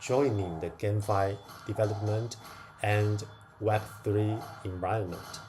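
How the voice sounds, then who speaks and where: A man speaks with a non-native accent. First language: not English. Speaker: crypto gaming streamer. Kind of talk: casual livestream chat while gaming. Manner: hesitant, with fillers.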